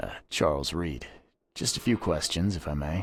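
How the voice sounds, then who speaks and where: A raspy, very deep, low-pitched put-on character voice from a man, at a moderate pace. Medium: video game.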